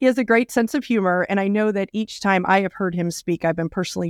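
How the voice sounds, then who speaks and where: Here is a woman with a normal speaking voice. Her pitch is medium, with ordinary pitch variation. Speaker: podcast host. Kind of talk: interview.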